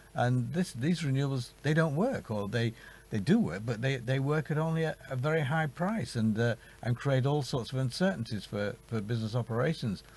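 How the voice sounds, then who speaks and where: Speaking fairly quickly with a British accent, the voice sounds somewhat breathy and has lively intonation. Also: man, medium pitch for a man. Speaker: climate policy expert. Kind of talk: studio interview. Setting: studio. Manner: halting, many repetitions.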